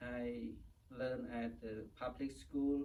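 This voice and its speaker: With a Cambodian accent, a man talks at a very slow pace with ordinary pitch variation. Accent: Cambodian (Khmer). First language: Khmer. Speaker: Buddhist monk. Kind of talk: interview. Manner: halting.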